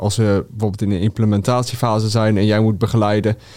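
Speaking at a moderate pace and medium pitch, a man keeps a monotone, flat intonation in a very clean recording with a silent background. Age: 20s. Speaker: mechanical engineer. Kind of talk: interview. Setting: studio.

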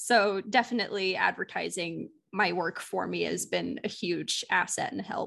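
A woman speaks at a moderate pace with hardly any pauses. The background is quiet. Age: 20s. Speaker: webcomic creator. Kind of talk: interview.

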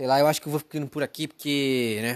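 Fairly even in intonation and moderate in pace, a man talks in a very clean recording with a silent background. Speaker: podcaster. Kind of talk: casual monologue. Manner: rambling, unscripted.

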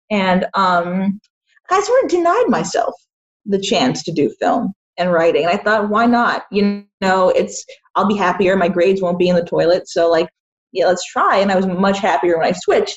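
Speaking at a moderate pace with an American accent, a woman has a medium-pitched, somewhat breathy voice and fairly even intonation. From Boston area, US. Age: 20s. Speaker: independent filmmaker. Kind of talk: casual interview.

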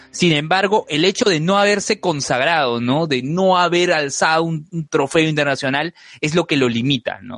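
Over music in the background, a man speaks at a fairly high pitch with ordinary pitch variation, at a moderate pace with hardly any pauses, the sound dry and close with no echo. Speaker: podcast co-host. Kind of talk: casual chat.

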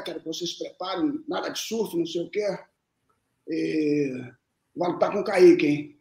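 Moving at a moderate tempo, this man's high voice rises and falls in a lively way. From Minas Gerais (Lavras), raised in Brasília from age 2, Rio from age 10. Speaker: jiu-jitsu coach and former champion. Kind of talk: casual interview storytelling.

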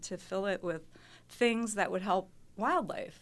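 A woman's unremarkable speaking voice with an American accent, medium in pitch, ordinary in pitch variation and moderate in pace, on a very clean recording with a silent background. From Mount Pleasant, Wisconsin. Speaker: scientist and native plant sale organizer. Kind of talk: casual radio interview. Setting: studio.

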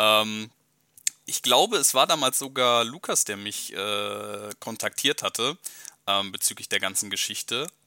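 Long, frequent pauses break up a man's fairly slow speech, which has a bright, sharp tone and a dry, close sound with no echo. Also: medium pitch for a man, ordinary pitch variation. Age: 20s. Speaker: podcaster, football fan. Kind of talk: casual chat.

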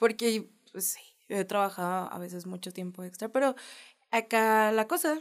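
A woman speaks in a fairly high pitch with lively intonation and big swings in loudness at a moderate pace. The recording is very clean, with a silent background. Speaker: podcast co-host. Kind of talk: casual chat.

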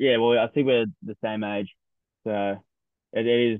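A man with an Australian accent speaks at a moderate pace. His pitch is medium and his intonation fairly even. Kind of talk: casual sports chat. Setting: remote recording.

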